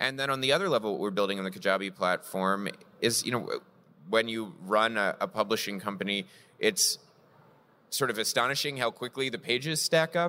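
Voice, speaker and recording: Over a silent background in a very clean recording, a man of medium pitch speaks at a fairly quick pace with lively intonation and a bright, sharp tone. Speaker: comics publisher executive, former philosopher. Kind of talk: panel discussion. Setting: stage with live audience. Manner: articulate, analytical.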